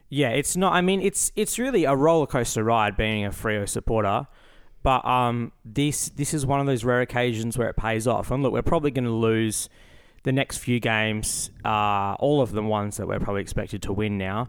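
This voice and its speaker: On a very clean recording with a silent background, a man speaks at a medium pitch with an Australian accent. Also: ordinary pitch variation, moderate pace. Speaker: podcast co-host. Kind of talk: casual chat.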